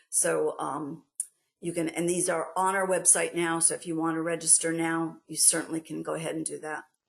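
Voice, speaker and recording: A woman talks at a moderate pace in a New York accent. Her intonation is monotone and flat, with vocal fry. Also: fairly low pitch for a woman. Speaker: export grant program staff presenter. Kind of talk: webinar presentation. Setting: online webinar. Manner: hesitant, many fillers.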